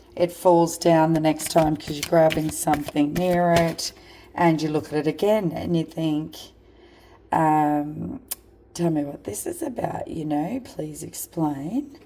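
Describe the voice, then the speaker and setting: A woman with a strong Australian accent speaks at a fairly slow pace in a very deep, low pitch, her pitch varying in an ordinary way. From rural Australia. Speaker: spiritual card reader. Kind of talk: psychic card reading monologue. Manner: halting.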